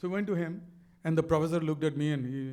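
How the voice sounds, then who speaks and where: Delivered at a very fast pace with a Bangladeshi accent, the voice carries audible room echo. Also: man. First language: Bengali. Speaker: business author and speaker. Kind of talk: onstage interview. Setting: stage with audience. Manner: animated.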